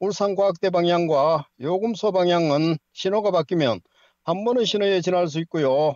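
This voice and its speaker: High-pitched speech from a man at a fairly slow pace, dry and with no echo. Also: quiet background. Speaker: traffic correspondent. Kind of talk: news reading. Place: studio.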